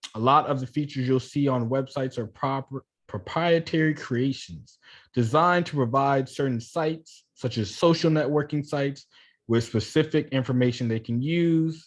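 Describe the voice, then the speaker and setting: Over a quiet background, an ordinary speaking voice moves at a moderate pace with ordinary pitch variation. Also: man, fairly high pitch for a man. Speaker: coding instructor. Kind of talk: online class tutorial.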